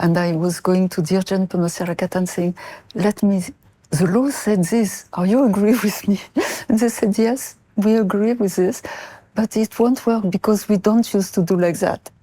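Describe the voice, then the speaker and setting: With a French accent, a woman speaks at a moderate pace in a medium pitch, her dark, mellow tone holding very even loudness and ordinary pitch variation. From France (Marseille). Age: 70s. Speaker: mother of a prisoner, interview guest. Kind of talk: interview. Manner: halting.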